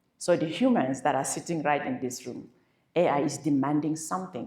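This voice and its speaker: This woman's voice has a very deep, low pitch. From Cameroon. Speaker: keynote speaker on AI. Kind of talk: keynote talk.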